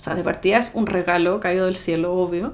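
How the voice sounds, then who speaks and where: A woman is speaking. She has a Chilean accent. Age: 30s. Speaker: documentary interviewee, homeowner by inheritance; interviewee. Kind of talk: documentary interview. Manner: casual, colloquial. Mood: light humour over sad topic. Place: home room.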